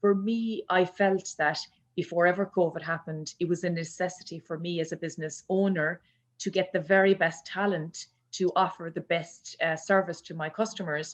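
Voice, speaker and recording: A woman's fairly low, flat monotone in a Kerry accent at a moderate pace, against a quiet background. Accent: Irish (Kerry). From Ireland, County Kerry. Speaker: business owner, HR consultant. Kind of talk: panel discussion.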